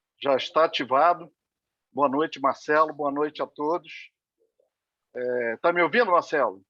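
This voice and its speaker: With a fairly high, bright, sharp tone, a man speaks at a fairly slow pace with ordinary pitch variation and long, frequent pauses, in a dry, close sound with no echo. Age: 60s. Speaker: retired sales representative, club member asking a question. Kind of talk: question in an online meeting. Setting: video call.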